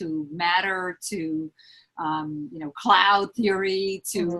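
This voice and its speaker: A woman with a New York accent, fairly low in pitch, with a bright, sharp tone. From Lower East Side, Manhattan, New York. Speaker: HR business partner. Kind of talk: interview answer.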